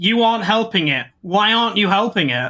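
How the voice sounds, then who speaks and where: In a British accent, a woman speaks at a moderate pace and medium pitch with a bright, sharp tone and vocal fry, on a very clean recording with a silent background. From Britain. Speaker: podcast co-host. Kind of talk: casual chat.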